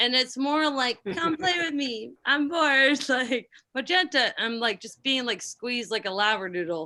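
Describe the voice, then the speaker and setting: Projecting her raised voice with hardly any pauses, a woman speaks at a moderate pace in a high pitch, her tone bright and sharp and her intonation lively. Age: 30s. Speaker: yacht crew cook and comedian. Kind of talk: casual chat.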